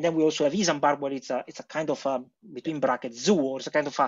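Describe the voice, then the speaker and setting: With a quiet background behind him, a man talks at a very fast pace, his fairly high pitch held in fairly even intonation. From Italy. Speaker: HPC industry engineer; podcast guest. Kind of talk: interview. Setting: remote call. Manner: halting. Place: home room. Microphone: video call.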